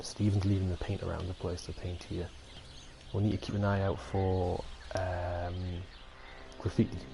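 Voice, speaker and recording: A man speaks in a very deep, low voice with a dark, mellow tone. He sounds somewhat breathy and leaves long, frequent pauses. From Britain, a cold northern area. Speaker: gaming streamer. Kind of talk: live gameplay commentary. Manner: fast; rambling, casual.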